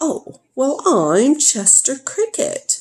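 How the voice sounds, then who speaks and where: A put-on character voice rises high in pitch and moves in a sing-song way. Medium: read story. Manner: sing-song, melodic.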